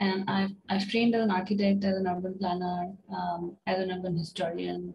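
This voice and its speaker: With light background noise behind her, a woman speaks at a fairly slow pace in a somewhat breathy, medium-pitched voice with monotone, flat intonation. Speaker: PhD student. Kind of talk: self-introduction in online workshop. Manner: soft-spoken; halting. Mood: friendly, slightly self-deprecating. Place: home room. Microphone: video call.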